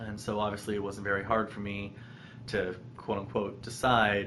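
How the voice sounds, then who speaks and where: The speaker talks at a moderate pace with an American accent, and audible room echo can be heard. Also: man. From US, Colorado (Boulder). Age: 20s. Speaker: vlogger sharing personal story. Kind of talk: personal testimony vlog. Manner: halting, many ums.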